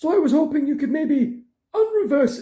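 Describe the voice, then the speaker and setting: This is a cartoonish character voice with a high pitch. It moves at a moderate pace. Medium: puppet show. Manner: hesitant, stammering.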